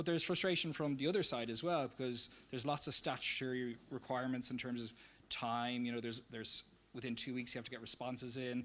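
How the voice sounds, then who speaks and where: With a Dublin accent, the speaker talks very fast in a bright, sharp tone with fairly even intonation. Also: man, medium pitch for a man. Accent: Dublin Irish. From Ireland, Dublin. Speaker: community project presenter. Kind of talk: public presentation.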